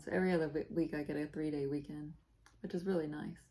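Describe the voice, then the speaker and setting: A soft-spoken woman talks at a very fast pace in a very deep, low voice with fairly even intonation. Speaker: cross-stitch video blogger. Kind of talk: casual chat.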